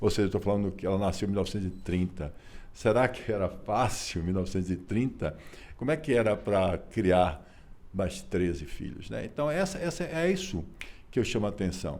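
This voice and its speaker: With a plain, everyday voice, a man talks at a moderate pace and a fairly low pitch, his intonation lively. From Bahia, Brazil. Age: 60s. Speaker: businessman and lawyer. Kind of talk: interview. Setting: office.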